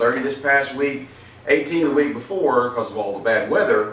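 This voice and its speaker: Over noticeable background noise, a man talks at a fairly slow pace with a fairly high pitch and ordinary pitch variation. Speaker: pastor. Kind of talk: Bible study teaching. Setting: church.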